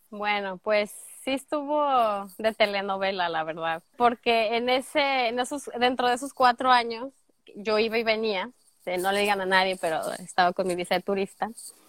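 In a normal speaking voice, a woman talks at a moderate pace with fairly high pitch and ordinary pitch variation, on a very clean recording with a silent background and a dry, close sound with no echo. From Mexico, Guadalajara (Jalisco). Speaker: au pair turned immigrant sharing her story. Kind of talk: casual interview chat.

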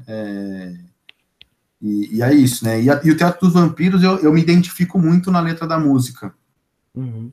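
A man with a São Paulo accent speaks at a moderate pace in a fairly high pitch, his dark, mellow tone swinging very widely in pitch, with long, frequent pauses. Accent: Paulistano Brazilian Portuguese. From São Paulo, North Zone. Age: 20s. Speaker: podcast guest, music fan. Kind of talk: casual interview.

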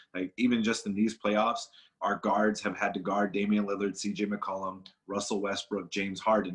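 Against a quiet background, a man with an American accent and a plain, everyday voice speaks at a fairly quick pace, his pitch fairly low and his intonation fairly even. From Los Angeles, California. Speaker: professional wrestler. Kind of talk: casual interview chat.

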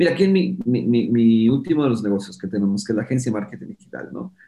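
Somewhat breathy, a man speaks with a dark, mellow tone and lively intonation. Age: 50s. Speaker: entrepreneur and productivity specialist. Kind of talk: interview.

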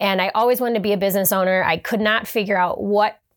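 Here a woman speaks with a Buffalo accent. Her voice is fairly high-pitched, and her intonation is monotone and flat. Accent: Western New York (Buffalo) American. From Western New York (Hamburg, near Buffalo). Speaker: fitness coach and business owner. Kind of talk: interview.

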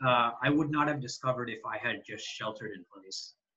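A man with a plain, everyday voice speaks at a moderate pace, his fairly high pitch showing ordinary pitch variation. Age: 20s. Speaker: software engineer, Japanese learner. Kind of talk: interview about language learning.

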